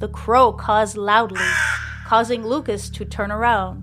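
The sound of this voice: Fairly even intonation carried by an unforced reading voice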